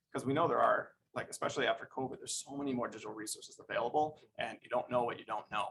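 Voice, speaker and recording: The speech rushes along at a very fast pace, with big swings in loudness. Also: man. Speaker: school district staff presenter. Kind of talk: formal presentation. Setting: school board meeting.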